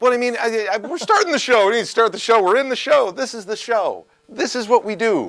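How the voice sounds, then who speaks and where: Loud and animated, a man with an extremely high pitch talks at a fairly quick pace with ordinary pitch variation and hardly any pauses. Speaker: talk show host. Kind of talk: comedic talk show banter.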